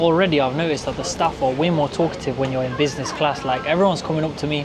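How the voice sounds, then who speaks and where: A man talks at a very fast pace in a fairly high pitch, with audible room echo and noticeable background noise. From England, Nottingham. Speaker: travel vlogger. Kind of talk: travel vlog narration. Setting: on board an aircraft. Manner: casual, enthusiastic.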